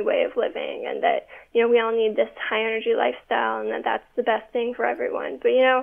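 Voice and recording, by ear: A woman talks at a fairly quick pace in a fairly high voice. Her speech carries vocal fry.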